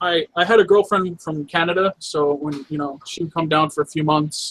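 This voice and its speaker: A man in a New York accent, fairly high-pitched, fairly even in intonation, with a dry, close sound and no echo. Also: moderate pace. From New York City. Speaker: vape reviewer. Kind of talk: casual chat.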